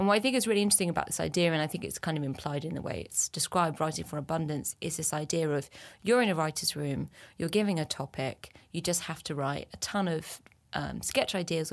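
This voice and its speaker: In a very clean recording with a silent background, a woman with a very deep, low pitch and vocal fry talks at a very fast pace with ordinary pitch variation. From France, rural Brittany. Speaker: comedian. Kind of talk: casual chat.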